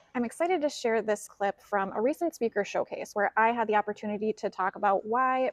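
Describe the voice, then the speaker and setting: Speaking at a fairly quick pace and fairly high pitch, a woman with a Minnesotan accent sounds dry and close with no echo. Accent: Minnesota. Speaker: financial educator and speaker. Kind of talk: video introduction.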